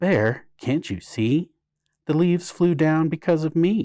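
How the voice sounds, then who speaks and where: A man uses a put-on character voice. His pitch is fairly high and his pace fairly slow. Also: very clean recording, silent background. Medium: read story. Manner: boastful, impatient.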